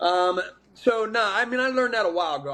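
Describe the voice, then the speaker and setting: An animated male voice at a fairly quick pace. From South New Jersey, near Philadelphia. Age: 40s. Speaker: welder. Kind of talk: casual podcast interview. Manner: animated, repetitive false starts.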